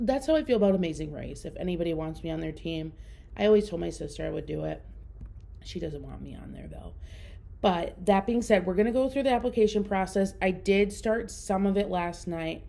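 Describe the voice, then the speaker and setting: With a Minnesotan accent, a woman talks at a fairly quick pace. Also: big swings in loudness. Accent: Minnesota. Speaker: podcast host. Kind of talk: casual solo podcast talk.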